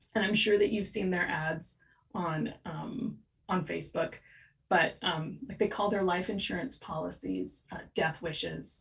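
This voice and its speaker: At a fairly slow pace, a woman speaks with vocal fry, a fairly low pitch and ordinary pitch variation. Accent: American. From United States. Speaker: copywriter. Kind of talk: podcast interview. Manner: animated.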